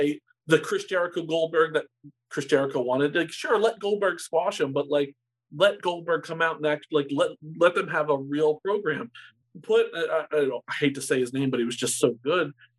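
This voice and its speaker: A man with a fairly high pitch uses an ordinary speaking voice and keeps a moderate pace. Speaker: former sports radio co-host. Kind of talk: casual chat.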